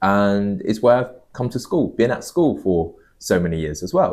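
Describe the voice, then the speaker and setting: On a very clean recording with a silent background, a man with a London accent speaks at a moderate pace, medium in pitch and lively in intonation. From London, England. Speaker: podcast co-host. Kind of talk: casual chat.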